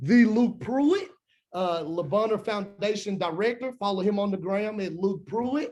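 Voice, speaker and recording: With a Memphis accent, a man talks at a moderate pace using lively intonation. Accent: Southern US (Memphis). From US South, Memphis, Tennessee. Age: 20s. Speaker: nonprofit alumni coordinator. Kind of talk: webinar presentation. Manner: enthusiastic.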